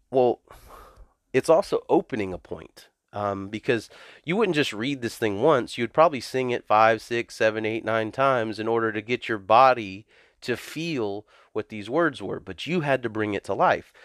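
An ordinary speaking voice from a man at medium pitch with an American accent, ordinary pitch variation and a moderate pace, on a very clean, silent recording with a dry, close sound and no echo. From US South. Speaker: pastor. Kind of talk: testimony.

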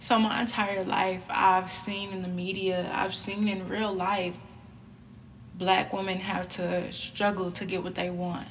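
A woman's medium-pitched, monotone and flat delivery at a fairly slow pace, with noticeable background noise. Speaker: podcast host. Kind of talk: solo monologue podcast.

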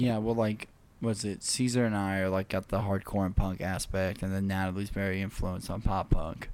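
Using a plain, everyday voice, a man talks at a moderate pace and a fairly low pitch with fairly even intonation. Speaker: podcast host. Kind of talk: casual chat.

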